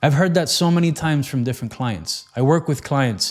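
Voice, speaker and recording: A man's unremarkable speaking voice at a moderate pace with ordinary pitch variation. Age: 40s. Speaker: weight loss coach. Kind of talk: motivational talk. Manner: casual conversational.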